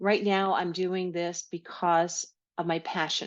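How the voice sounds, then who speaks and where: A woman with a New York accent, fairly low in pitch, in a monotone, flat intonation, at a fairly slow pace, against a quiet background. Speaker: podcast host, health educator. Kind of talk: solo podcast monologue.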